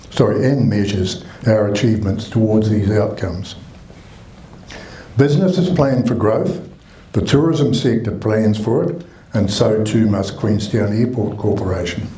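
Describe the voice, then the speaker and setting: With a New Zealand accent, a man talks at a fairly low pitch with ordinary variation. Noticeable background noise and audible room echo are present. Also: moderate pace. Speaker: mayor. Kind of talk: reading a prepared statement. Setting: public meeting with audience, microphone. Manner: formal.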